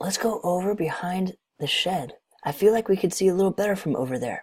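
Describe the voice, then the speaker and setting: Raspy and at a middle pitch, a put-on character voice runs at a fairly quick pace. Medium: read story. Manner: eager, quick.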